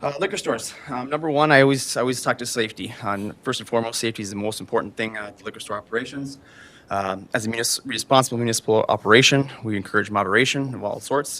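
A man at a very fast pace, with big swings in loudness. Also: medium pitch for a man, ordinary pitch variation. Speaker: liquor store manager. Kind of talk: public meeting presentation. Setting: city council meeting. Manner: hesitant, many fillers.

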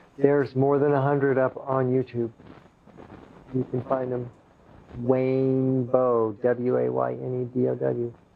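A man speaks at a fairly slow pace in a soothing tone, his intonation flat and monotone, with long, frequent pauses over light background noise. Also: medium pitch for a man. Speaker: sound healing practitioner and meditation guide; meditation guide. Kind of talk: slow guided breathing meditation with grounding-roots visualization; casual closing chat to viewers. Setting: room with live guests, streamed online. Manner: slow, soothing, drawn-out invitational pacing; casual, chuckling and rambling between segments. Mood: relaxed, friendly. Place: home room.

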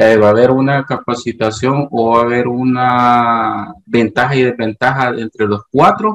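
Against a quiet background, a man with a Honduran accent speaks at a fairly slow pace in a medium pitch with fairly even intonation. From Honduras. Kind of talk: question in online meeting. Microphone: video call.

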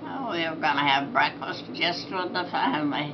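Noticeable background noise sits behind a woman's very deep, low voice. She speaks at a fairly slow pace with fairly even intonation. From Iowa. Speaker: grandmother. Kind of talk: casual interview answer. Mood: pleased, calm. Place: home room. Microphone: camera far.

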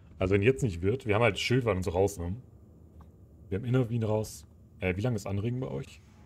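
Somewhat breathy and fairly low-pitched, a man talks at a very fast pace. Long, frequent pauses break up his speech. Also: ordinary pitch variation. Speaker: gaming streamer. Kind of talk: live gameplay commentary. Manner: animated.

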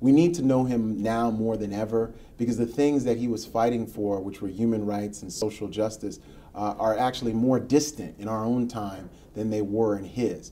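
A man with an American accent, a dark, mellow tone and fairly even intonation. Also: moderate pace. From US Northeast, Queens, New York City; New York. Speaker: history professor and author; history professor. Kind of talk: radio interview. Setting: studio.

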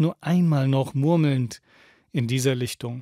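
A man talks at a fairly slow pace in a dark, mellow, solemn tone with fairly even intonation. The sound is dry with no echo, over a quiet background. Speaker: radio host reading a book aloud. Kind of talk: dramatic literary reading aloud, solemn poetic narration of a prophet's speech. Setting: radio studio broadcast. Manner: slow, solemn, expressive, emphatic delivery with pauses. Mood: calm, solemn, poetic delivery. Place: studio. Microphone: studio mic.

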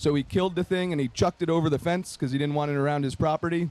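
A man with a plain, everyday voice speaks at a fairly high pitch with fairly even intonation, and the sound is dry with no echo. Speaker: TV show producer and event presenter. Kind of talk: festival talk. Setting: outdoor festival with audience. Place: open country.

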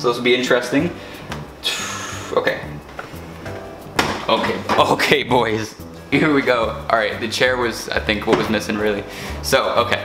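A man at a moderate pace with ordinary pitch variation, over clear background music. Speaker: vlogger. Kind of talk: casual vlog chat. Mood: playful, joking. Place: kitchen. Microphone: camera far.

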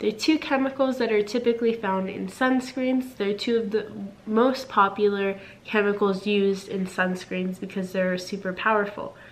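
A woman at medium pitch talks at a moderate pace, her intonation fairly even, with noticeable noise behind her. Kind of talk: casual talk to camera.

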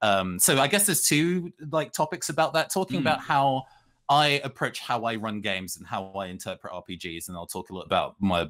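A man in a British accent speaks at a very fast pace with hardly any pauses and very wide pitch swings against a quiet background. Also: big swings in loudness. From UK, British Caribbean heritage. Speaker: RPG writer and actual-play performer; panelist. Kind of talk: panel discussion. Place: home room.

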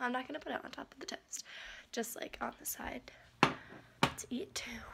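Loud background noise behind a woman at a fairly slow pace. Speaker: vlogger. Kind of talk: casual vlog chat. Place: kitchen. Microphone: phone near.

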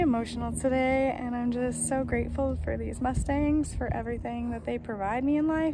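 Over noticeable background noise, a woman speaks at a fairly quick pace, the sound dry with no echo. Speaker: horse trainer. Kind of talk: casual vlog chat. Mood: emotional, grateful. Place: open country. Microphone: phone near.

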